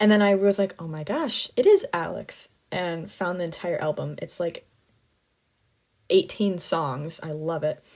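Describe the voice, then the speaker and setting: A woman speaks in an animated tone, her loudness swinging widely. The recording is very clean, with a silent background. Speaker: student podcaster. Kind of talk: casual solo monologue. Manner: fast.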